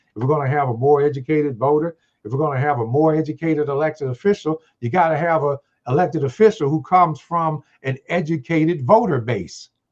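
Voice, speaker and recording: A man with an American accent talks at a very fast pace, fairly high in pitch, with ordinary pitch variation. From East St. Louis, Illinois. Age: 70s. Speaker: former mayor. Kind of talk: podcast interview.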